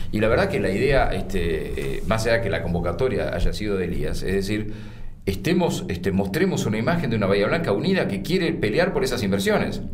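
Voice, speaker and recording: Amid noticeable background noise and audible room echo, a man talks fairly quickly in a fairly low voice with very wide pitch swings. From Argentina, Buenos Aires province (Pigüé). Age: 60s. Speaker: mayor, former radio and TV journalist. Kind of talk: interview.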